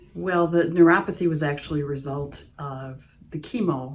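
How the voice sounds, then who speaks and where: With an Upper Midwest accent, a woman with a very deep, low pitch speaks at a moderate pace with fairly even intonation and audible room echo. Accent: Upper Midwest American. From US Midwest, Wisconsin. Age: 60s. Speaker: patient. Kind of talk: testimonial interview.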